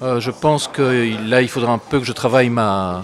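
Noticeable background noise runs under the recording. A man speaks at a very slow pace. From Belgium, Brussels. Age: 60s. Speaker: author and historian, former school principal. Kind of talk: interview. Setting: café. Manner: hesitant, many filler sounds and repeated words.

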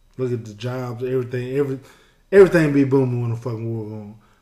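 There is noticeable background noise and audible room echo. A man speaks at a medium pitch with fairly even intonation. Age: 40s. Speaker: podcast co-host, retired. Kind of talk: casual chat.

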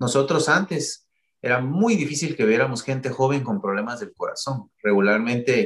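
A man's plain, everyday voice, medium in pitch, with lively intonation at a moderate pace. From Guatemala. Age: 40s. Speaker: cardiologist. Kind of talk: interview. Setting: video call.

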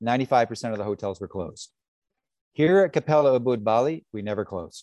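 Dark, mellow tone with a western Canadian accent, lively intonation, and a dry, close sound with no echo. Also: man, quiet background. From Canada, British Columbia. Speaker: luxury hotel manager. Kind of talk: interview. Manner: halting, with many repetitions.

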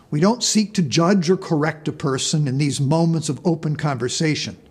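A man with a high-pitched voice and lively intonation talks at a moderate pace. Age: 70s. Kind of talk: sermon. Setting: church. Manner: formal.

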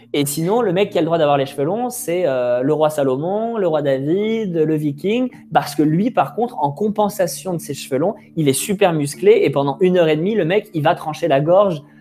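Against noticeable background noise, a man talks at a high pitch with lively intonation. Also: moderate pace. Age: 20s. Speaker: video creator and podcast host. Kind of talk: casual conversation. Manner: hesitant, many fillers.

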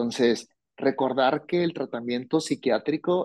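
Dry and close with no echo, the recording has a quiet background and a man with a normal speaking voice. He talks at medium pitch and a fairly slow pace, with ordinary pitch variation. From Mexico, Hermosillo, Sonora. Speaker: psychologist. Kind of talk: interview on mental health. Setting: remote recording, host in another city.

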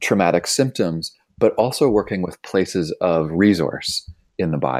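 A man talks in a plain, everyday voice at a fairly low pitch. His intonation is lively and his pace moderate. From Canada (Toronto). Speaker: author and trauma educator. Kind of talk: interview conversation.

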